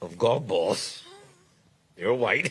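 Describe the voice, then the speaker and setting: A man with a New York accent, at a fairly slow pace and with ordinary pitch variation. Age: 60s. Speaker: guest commentator. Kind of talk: casual chat.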